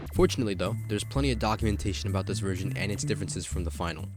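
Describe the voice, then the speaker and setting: Over music in the background, a man speaks at a fairly low pitch with lively intonation. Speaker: gaming video creator. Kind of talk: casual video game commentary narration.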